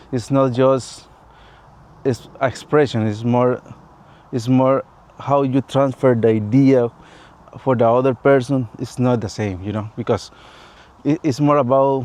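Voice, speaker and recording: A man with a Latin American accent speaks at a fairly slow pace, his pitch medium and his intonation fairly even. Long pauses come often. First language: Spanish. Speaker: vlogger. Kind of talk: personal vlog monologue. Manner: halting, non-fluent English.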